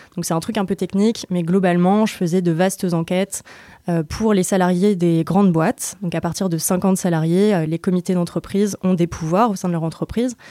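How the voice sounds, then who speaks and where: In a dark, mellow tone, a woman speaks at a moderate pace with a medium pitch and fairly even intonation. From France (Normandy, then Lyon). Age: 20s. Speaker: co-founder of an environmental news outlet. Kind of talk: interview conversation. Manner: casual, many hesitations and fillers.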